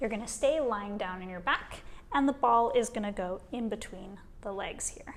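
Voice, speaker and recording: In a Western Canadian accent, a woman with a calm tone speaks at a moderate pace, her pitch swinging very widely. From Vancouver, British Columbia, Canada. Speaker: kinesiologist. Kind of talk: guided exercise instruction. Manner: calm, clear, encouraging.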